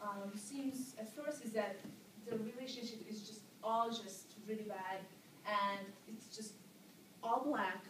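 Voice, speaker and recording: With noticeable background noise and audible room echo, a woman speaks very slowly at a fairly high pitch with fairly even intonation. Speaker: university student. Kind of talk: class presentation. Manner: halting, many fillers.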